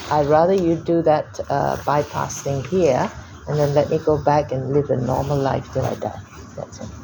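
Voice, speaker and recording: Noticeable background noise runs behind a woman with a very deep, low pitch. She speaks at a moderate pace with ordinary pitch variation. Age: 60s. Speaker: cancer patient. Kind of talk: doctor consultation.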